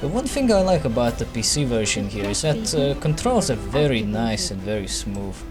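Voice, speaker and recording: A man talks at a fairly quick pace over music in the background. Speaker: gaming YouTuber. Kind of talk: gameplay commentary. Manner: casual.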